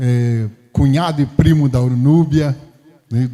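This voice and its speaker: Speaking at a very slow pace, this is a man. His pitch sits in the medium range. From Brazil, Rio de Janeiro (Campo Grande). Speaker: pastor. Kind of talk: sermon. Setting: church.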